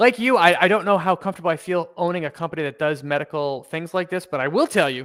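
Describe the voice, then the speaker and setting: This man's voice is high in pitch and moves at a very fast pace with ordinary pitch variation. The recording is very clean, the background silent. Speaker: investing channel host. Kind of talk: live stock research discussion. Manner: hesitant, many fillers.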